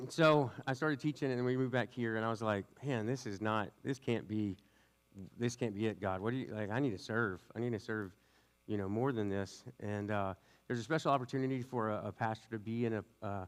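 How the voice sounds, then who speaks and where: Fairly quick speech from a man in a Southern US accent. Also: medium pitch for a man, ordinary pitch variation, quiet background. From US South (West Louisiana). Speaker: youth pastor. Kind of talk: sermon. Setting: church with congregation. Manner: fast; casual, tangential.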